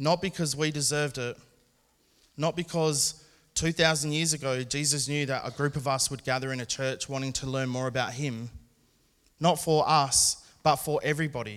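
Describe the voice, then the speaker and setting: A normal speaking voice from a man, fairly high in pitch, at a moderate pace. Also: fairly even intonation. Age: 40s. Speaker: preacher. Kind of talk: sermon.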